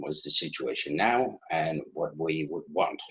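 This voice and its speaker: Speaking at a fairly slow pace with a Dutch accent, a man is heard against audible room echo. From Netherlands. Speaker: IT manager and conference speaker. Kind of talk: conference talk. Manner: halting, many fillers.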